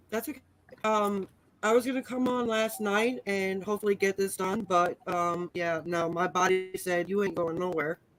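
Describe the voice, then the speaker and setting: With music in the background, a woman speaks at a moderate pace and medium pitch, using ordinary pitch variation. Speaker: art livestream host. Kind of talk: casual chat.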